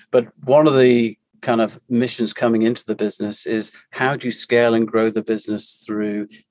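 A man in a British accent, medium-pitched and monotone, flat in intonation, with dry, close sound with no echo and a very clean recording, silent background. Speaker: company CEO. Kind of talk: casual interview.

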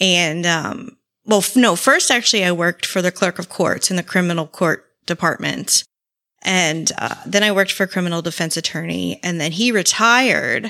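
With an American accent, a woman talks at a moderate pace in a fairly low pitch. She shows ordinary pitch variation and some vocal fry. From southwest Florida (Naples). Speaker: podcaster, former Navy police officer. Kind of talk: true crime case narration; casual interview chat. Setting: remote video call.

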